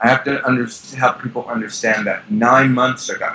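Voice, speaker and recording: A plain, everyday voice at a moderate pace. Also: man. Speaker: celebrity stylist. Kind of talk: interview.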